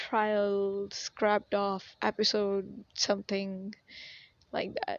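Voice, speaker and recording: A woman speaks at a very slow pace with a medium pitch. Her intonation is monotone and flat. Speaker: podcast host. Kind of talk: casual solo monologue. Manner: hesitant, many fillers.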